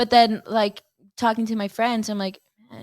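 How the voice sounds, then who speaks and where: The recording is very clean, with a silent background. A woman speaks at medium pitch with a Mexican accent. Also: dry, close sound with no echo. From Texas, El Paso. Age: 20s. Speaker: college softball player. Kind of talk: casual chat interview.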